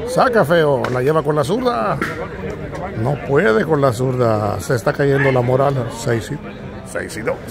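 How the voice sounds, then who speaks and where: A man at a very slow pace, with ordinary pitch variation, music in the background, and a dry sound with no echo. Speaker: amateur game commentator. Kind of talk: sports commentary. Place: open country. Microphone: phone near.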